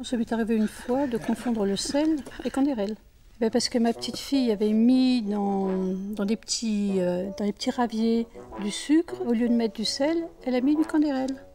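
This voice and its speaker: This woman's voice is fairly high and moves at a moderate pace, its pitch varying in an ordinary way, with noticeable noise behind her. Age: 60s. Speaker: retiree in a brand testimonial. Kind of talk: testimony.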